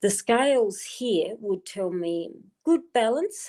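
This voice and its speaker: An Australian accent on a very clean recording with a silent background. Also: woman. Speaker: tarot card reader. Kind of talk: live stream card reading. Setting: live stream on wifi.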